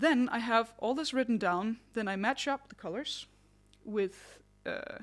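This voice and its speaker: Her voice fairly high in pitch with ordinary pitch variation, a woman speaks in a very clean recording with a silent background. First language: not English. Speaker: singer and vocal vlogger. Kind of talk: tutorial. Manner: conversational.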